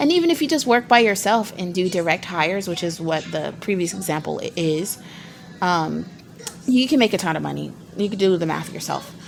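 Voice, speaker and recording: A woman's medium-pitched voice at a fairly quick pace, with ordinary pitch variation and music in the background. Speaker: small business vlogger. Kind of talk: tutorial. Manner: fast; casual, many fillers and restarts.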